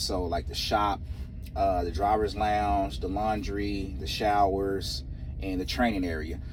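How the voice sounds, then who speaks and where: A man with an American accent talks at a fairly slow pace in a fairly low pitch with vocal fry. Audible room echo surrounds his voice. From Texas. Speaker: truck driver vlogger. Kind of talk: casual vlog monologue. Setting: outdoors in cold wind.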